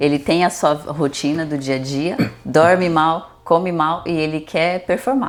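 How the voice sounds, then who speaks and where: With noticeable background noise, a woman talks at a fairly slow pace in a fairly low pitch, her pitch varying in an ordinary way. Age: 40s. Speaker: nutritionist. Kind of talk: casual interview chat.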